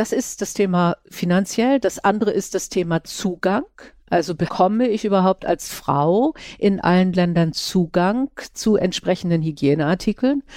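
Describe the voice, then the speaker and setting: A woman's dark, mellow voice at a medium pitch, fairly slow in pace, very even in loudness, with a dry, close sound and no echo. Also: ordinary pitch variation. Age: 60s. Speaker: podcast host. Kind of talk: interview.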